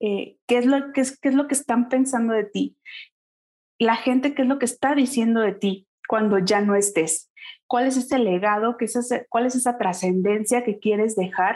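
A woman's fairly high voice, a plain, everyday voice, with ordinary pitch variation, very even loudness and a moderate pace over a quiet background. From Mexico, Pachuca, Hidalgo. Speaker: small business and time management consultant. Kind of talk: interview.

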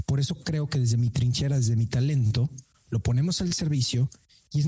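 At a moderate pace and medium pitch, a man with a Mexican accent speaks in a somewhat breathy voice with a dark, mellow tone and ordinary pitch variation. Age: 30s. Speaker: sales trainer and podcaster. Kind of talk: interview.

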